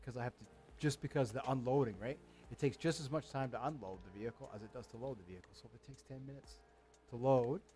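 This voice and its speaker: Speaking in a medium pitch with a dark, mellow tone and vocal fry, a man shows ordinary pitch variation and big swings in loudness. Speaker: gaming streamer. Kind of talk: gameplay commentary. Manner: halting.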